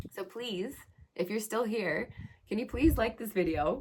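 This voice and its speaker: A woman speaks at a moderate pace with a fairly high pitch. Vocal fry runs through her voice. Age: 30s. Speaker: astrologer and Reiki practitioner. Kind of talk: astrology talk and guided meditation intro. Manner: casual, conversational.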